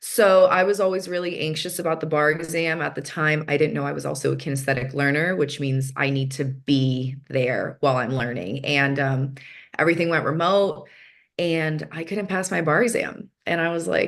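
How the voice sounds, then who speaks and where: The speaker has an American accent and keeps a moderate pace. The pitch varies in an ordinary way. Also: woman, very deep, low pitch for a woman. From San Diego, US. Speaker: speaker, former law graduate sharing life story. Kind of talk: personal testimony talk. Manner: casual, many fillers.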